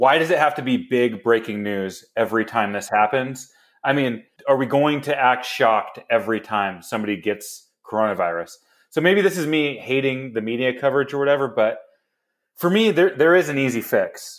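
A man with a normal speaking voice, medium in pitch. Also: moderate pace. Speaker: podcast host. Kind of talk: casual comedic sports banter. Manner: joking, sarcastic.

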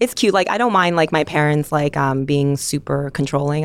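A woman's very deep, low pitch with ordinary pitch variation, in a General American accent. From rural Pennsylvania. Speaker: podcast co-host. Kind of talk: casual chat. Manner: animated.

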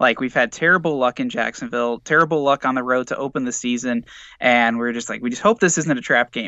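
A man with an American accent speaks at a fairly quick pace in an unremarkable speaking voice, with ordinary pitch variation. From Indiana, US Midwest. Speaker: sports podcaster. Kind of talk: casual chat.

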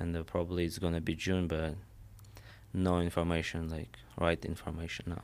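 A man with a Russian accent speaks in a very deep, low pitch. His intonation is monotone and flat, and the recording is very clean with a silent background. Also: moderate pace. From Armenia/Russia. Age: 20s. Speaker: mixed martial arts fighter. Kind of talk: interview. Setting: studio. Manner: halting.

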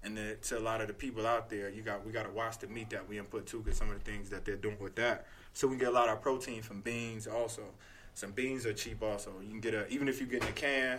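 With an American accent, a man speaks at a very fast pace in a medium pitch. His tone is bright and sharp, his intonation monotone and flat. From North Carolina. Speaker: personal trainer. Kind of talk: casual chat. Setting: studio.

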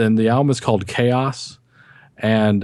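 Speaking with an American accent, a man has a plain, everyday voice. He talks at medium pitch and a moderate pace against a quiet background. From Texas. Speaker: music podcaster. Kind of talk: casual chat.

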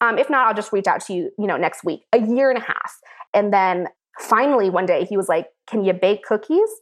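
An unremarkable speaking voice from a woman with an American accent, fairly high in pitch and fairly quick, with ordinary pitch variation over a quiet background. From US Pacific Northwest, Seattle. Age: 30s. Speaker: food stylist. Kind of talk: casual chat.

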